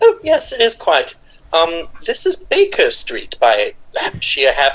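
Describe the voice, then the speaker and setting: Extremely high in pitch, this is a put-on character voice. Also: moderate pace. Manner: polite, formal.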